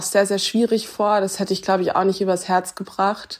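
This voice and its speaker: The speaker is a woman at medium pitch. Her intonation stays monotone and flat. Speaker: online video presenter. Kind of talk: testimony. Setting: voice message.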